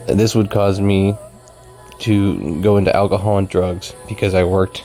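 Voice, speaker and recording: A soft-spoken man talks at a moderate pace with a fairly low pitch. His intonation is fairly even, with music in the background. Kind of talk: ASMR life story.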